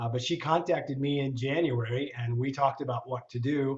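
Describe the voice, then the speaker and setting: A man's somewhat breathy voice, medium in pitch, with fairly even intonation. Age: old. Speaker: LinkedIn trainer. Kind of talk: online seminar. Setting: video call. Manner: fast.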